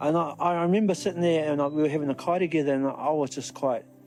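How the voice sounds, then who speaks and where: A man talks with a New Zealand accent and a fairly high pitch. Music plays in the background. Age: 60s. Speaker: Māori elder and language graduate. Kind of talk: interview testimony. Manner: halting.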